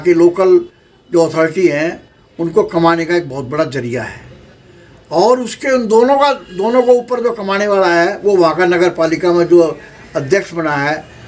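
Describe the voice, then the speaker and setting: This man's lively intonation comes with noticeable background noise. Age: 70s. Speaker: social worker and local politician. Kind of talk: interview. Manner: forceful.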